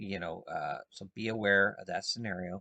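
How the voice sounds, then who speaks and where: A soft-spoken man is heard here. The sound is dry and close, with no echo. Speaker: market trader. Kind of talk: tutorial.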